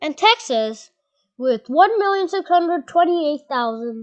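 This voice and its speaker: Very wide pitch swings from a woman. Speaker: youtuber presenting slides. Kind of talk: casual slideshow commentary. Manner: halting, many restarts and fillers; loud.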